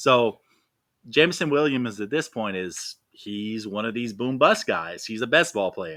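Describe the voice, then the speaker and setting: A man's medium-pitched, bright, sharp voice with big swings in loudness, in a very clean recording with a silent background. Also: lively intonation. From Louisiana. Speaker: fantasy football analyst. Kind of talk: podcast interview.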